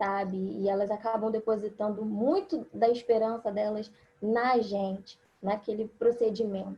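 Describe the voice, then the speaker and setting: A woman's somewhat breathy voice, fairly high in pitch, at a fairly slow pace with monotone, flat intonation. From Rio de Janeiro, Brazil. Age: 20s. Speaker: biomedical scientist and embryologist. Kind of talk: online forum presentation.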